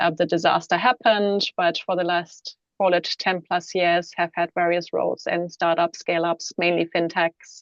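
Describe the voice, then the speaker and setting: A woman with a German accent speaks at a moderate pace with a fairly low pitch, monotone and flat in intonation, barely pausing. Her loudness stays very even, and the sound is dry and close with no echo. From Germany. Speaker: CFO, panelist. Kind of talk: panel introduction. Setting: online webinar.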